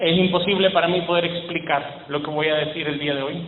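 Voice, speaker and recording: A man's high-pitched voice at a moderate pace, with noticeable background noise and audible room echo. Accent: Salvadoran. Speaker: preacher. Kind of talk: sermon.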